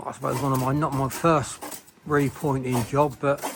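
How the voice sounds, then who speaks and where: Moderately paced speech from a man, noticeable background noise behind it. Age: 70s. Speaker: bricklayer. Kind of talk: casual on-site talk.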